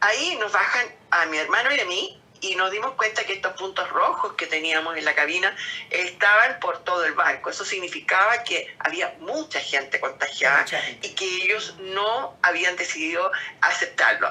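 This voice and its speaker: With music in the background, a woman of medium pitch speaks at a moderate pace with lively intonation. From Chile. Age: 70s. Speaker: COVID-19 survivor. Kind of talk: interview answer, personal testimony.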